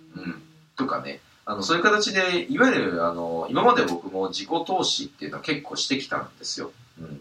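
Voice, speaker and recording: A man talks at a fairly quick pace, his loudness swinging widely, with noticeable background noise behind him. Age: 30s. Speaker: podcast host and side-business investment advisor. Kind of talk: casual monologue. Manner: halting, many fillers.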